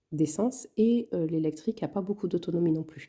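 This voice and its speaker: The voice has a dark, mellow tone and ordinary pitch variation. Its pace is moderate. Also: woman. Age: 40s. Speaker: budgeting vlogger. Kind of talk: casual tutorial. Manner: hesitant, many fillers.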